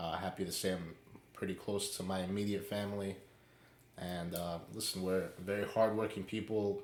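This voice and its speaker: A man with a New York accent speaks in a monotone, flat intonation. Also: fairly low pitch for a man, moderate pace. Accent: New York City. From New York City, Queens. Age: 20s. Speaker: podcast co-host. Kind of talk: casual chat.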